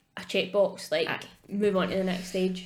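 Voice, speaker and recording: A woman speaks in a Scottish accent. Her pace is fairly quick. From Scotland, Ayrshire. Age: 30s. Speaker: podcast co-host. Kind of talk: casual chat.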